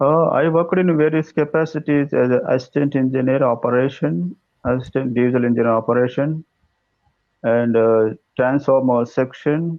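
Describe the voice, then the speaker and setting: A man's medium-pitched voice with an Indian accent, ordinary pitch variation and very even loudness. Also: moderate pace. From South India. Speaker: electrical engineer, English learner. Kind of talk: casual chat. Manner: halting.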